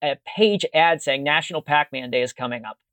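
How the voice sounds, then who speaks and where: Speaking at a fairly quick pace, a man uses a plain, everyday voice with ordinary pitch variation. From Pittsburgh, US. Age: 50s. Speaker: musician and video archivist. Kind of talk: casual chat.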